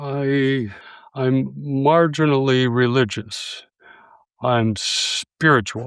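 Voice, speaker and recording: A man's medium-pitched voice at a very slow pace, with fairly even intonation. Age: 80s+. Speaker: philosopher and grief scholar. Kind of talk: podcast interview. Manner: halting.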